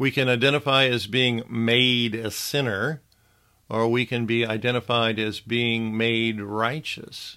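A man speaks at a fairly slow pace in a medium pitch, his intonation monotone and flat. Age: 60s. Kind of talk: devotional teaching monologue.

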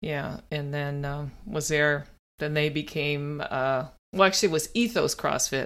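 In a very clean recording with a silent background, a woman with an American accent speaks at a fairly slow pace, her pitch very deep and low, with ordinary pitch variation. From US, rural. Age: 50s. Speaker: gym member. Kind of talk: casual chat. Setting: at the gym. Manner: animated.

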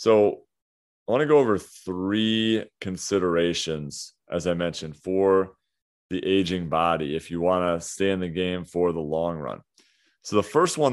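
Over a quiet background, a man talks at a moderate pace with a very deep, low pitch and lively intonation. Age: 30s. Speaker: fitness coach and podcast host. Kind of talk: solo podcast monologue. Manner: casual, with frequent fillers.

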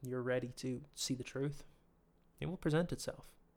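Speaking at a moderate pace, a man of medium pitch keeps a fairly even intonation. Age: 20s. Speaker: podcast host. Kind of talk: solo monologue. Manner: hesitant, many fillers.

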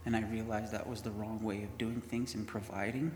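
There is audible room echo as a man speaks. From Winnipeg, Canada. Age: 30s. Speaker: mission program graduate. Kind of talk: testimony.

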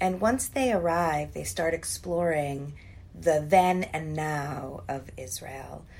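A woman's very deep, low voice, very slow, with lively intonation, big swings in loudness and audible room echo. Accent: American. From Columbia, Maryland, US. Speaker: museum director and children's author. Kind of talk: interview. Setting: office.

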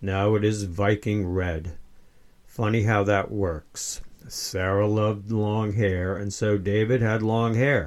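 Speaking at a very slow pace, a man uses fairly even intonation and a fairly low pitch. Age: 70s. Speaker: author. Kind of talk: reading aloud.

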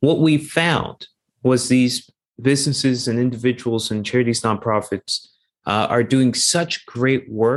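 A normal speaking voice with a Canadian accent talks at a fairly slow pace. The pitch varies in an ordinary way over a quiet background. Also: man. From Canada, Toronto. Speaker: investment executive and charity co-founder. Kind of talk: interview.

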